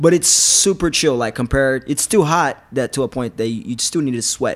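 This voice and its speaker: A man speaks with a normal speaking voice at medium pitch. His pace is moderate and his intonation lively. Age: 20s. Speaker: mixed martial arts fighter. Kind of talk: casual interview.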